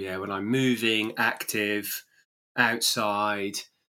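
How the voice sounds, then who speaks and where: Speaking in a monotone, flat intonation, a man with an English accent has a fairly low pitch. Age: 50s. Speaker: running coach and podcast host. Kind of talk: interview conversation. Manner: halting.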